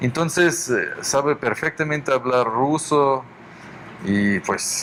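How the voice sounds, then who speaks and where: A man with fairly high pitch at a very slow pace, ordinary pitch variation, noticeable background noise behind him. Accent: Russian. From Russia. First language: Russian (speaking Spanish). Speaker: violinist and orchestra director. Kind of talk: interview. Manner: halting.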